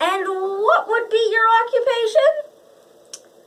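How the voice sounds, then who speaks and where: A squeaky, extremely high-pitched put-on character voice moves at a very slow pace. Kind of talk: comic courtroom speech. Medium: comedy sketch.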